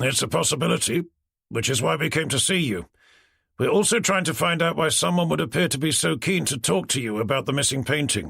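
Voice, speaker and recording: Putting on a raspy character voice, a man talks at a fairly quick pace with a fairly high pitch and very wide pitch swings. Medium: read story. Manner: dry, blunt.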